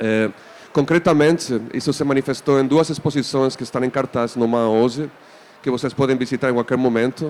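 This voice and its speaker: Over noticeable background noise, a man with a non-native accent speaks at medium pitch. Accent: foreign accent in Portuguese. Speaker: museum artistic director. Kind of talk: panel discussion moderation. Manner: hesitant, many fillers.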